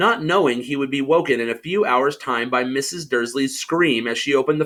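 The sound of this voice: Ordinary pitch variation comes through in this unforced reading voice.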